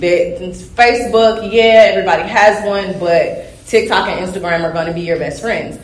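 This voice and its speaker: Against noticeable background noise, a woman with a Southern US accent speaks at a moderate pace, her medium pitch showing ordinary variation. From US South. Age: young. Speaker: young flooring worker. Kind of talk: panel discussion. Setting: live convention panel with audience.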